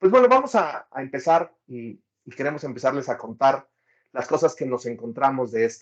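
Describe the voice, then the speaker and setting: A man speaks with a Mexican accent. His loudness swings widely. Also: medium pitch for a man, ordinary pitch variation, moderate pace. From Mexico. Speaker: data professional, book reviewer. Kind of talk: casual conversation, book review.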